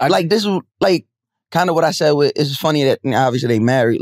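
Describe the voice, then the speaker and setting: A man talks at a very fast pace. The sound is dry with no echo, over a quiet background. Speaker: podcast host. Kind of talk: casual chat. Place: studio. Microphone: studio mic.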